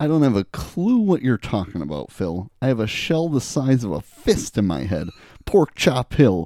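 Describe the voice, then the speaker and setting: A man speaks at a moderate pace and medium pitch in a dark, mellow tone with a playful edge. His pitch swings very widely, and the sound is dry and close with no echo. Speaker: podcast co-host. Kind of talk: casual chat. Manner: joking, playful.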